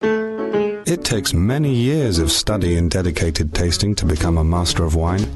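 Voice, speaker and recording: Over background music, a man with a very deep, low pitch talks at a moderate pace with lively intonation, hardly any pauses and very even loudness. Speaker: voice actor. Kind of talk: TV commercial read.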